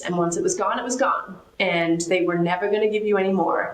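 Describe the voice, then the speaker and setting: Room echo is audible as a woman talks at a fairly quick pace with ordinary pitch variation. Background noise is noticeable. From Australia. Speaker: financial advisory executive. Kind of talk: interview.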